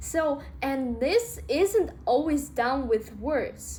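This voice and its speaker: A woman speaks with a Russian accent. Her pace is very slow. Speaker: self-help vlogger. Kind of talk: casual talk to camera. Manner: halting, with filler words.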